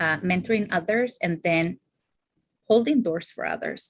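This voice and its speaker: A woman speaks with a non-native accent at a fairly low pitch. Her pitch varies an ordinary amount. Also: quiet background. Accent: foreign. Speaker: therapist and clinical supervisor. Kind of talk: casual interview. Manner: hesitant, many fillers.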